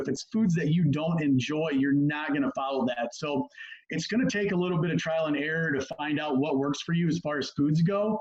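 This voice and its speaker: At a fairly quick pace, a man with a fairly high pitch talks over noticeable background noise. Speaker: sports nutrition and performance coach. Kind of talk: presentation on a video call. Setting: video call. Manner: fast.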